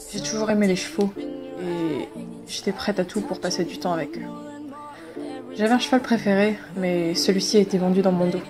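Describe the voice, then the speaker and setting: A woman speaks with long, frequent pauses while music plays in the background. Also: medium pitch for a woman, lively intonation, moderate pace. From Belgium. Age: 20s. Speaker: horse rider. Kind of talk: personal story narration.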